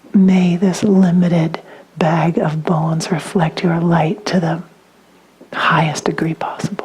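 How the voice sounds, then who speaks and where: A woman speaks at a fairly slow pace with a fairly low pitch and monotone, flat intonation. Noticeable background noise sits behind her. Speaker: spiritual teacher. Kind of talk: dharma talk.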